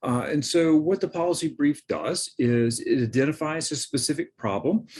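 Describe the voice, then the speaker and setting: This man has a normal speaking voice pitched fairly high. He moves at a moderate pace with lively intonation. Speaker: professor. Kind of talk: lecture. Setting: recorded presentation with screen share.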